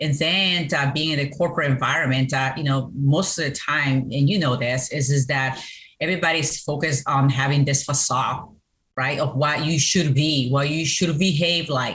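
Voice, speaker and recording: The speaker talks at a moderate pace with fairly even intonation in a Colombian accent. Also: woman, very deep, low pitch for a woman. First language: Spanish. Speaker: business owner, CEO and Navy veteran. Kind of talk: interview. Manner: hesitant, many fillers.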